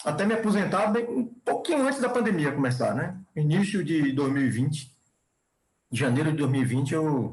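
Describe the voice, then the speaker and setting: A man with a fairly high pitch speaks at a moderate pace with very wide pitch swings and very even loudness. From Bahia, Brazil. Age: 60s. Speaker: chemical engineer and professor. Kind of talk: podcast interview. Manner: halting, with repetitions.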